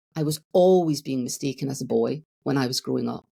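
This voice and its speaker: With a Scottish accent, a woman talks at a moderate pace in a very deep, low pitch marked by vocal fry. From Scotland. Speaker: therapist. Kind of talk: podcast interview.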